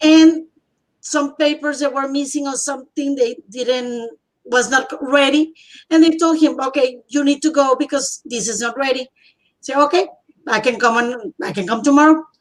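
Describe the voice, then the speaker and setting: A woman with a Spanish accent speaks in a high voice at a moderate pace, her intonation fairly even. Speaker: bilingual teacher. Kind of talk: casual conversation, personal testimony. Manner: halting.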